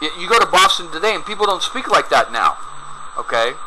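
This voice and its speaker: Through noticeable background noise, a man with an American accent speaks at a moderate pace. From US South, rural Georgia east of Atlanta. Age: 50s. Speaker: video commentator. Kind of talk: video commentary. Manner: animated.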